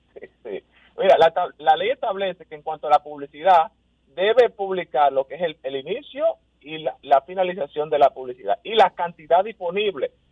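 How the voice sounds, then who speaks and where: A man with a high pitch talks at a moderate pace, his loudness swinging widely. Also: lively intonation. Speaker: consumer rights lawyer. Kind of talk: radio interview. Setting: phone call.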